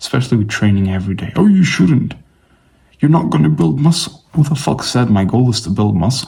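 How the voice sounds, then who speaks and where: A man with a non-native accent speaks at a fairly quick pace and medium pitch, his tone dark, mellow and somewhat breathy. His pitch swings very widely. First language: not English. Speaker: fitness vlogger. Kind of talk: casual vlog monologue. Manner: casual, rambling with fillers.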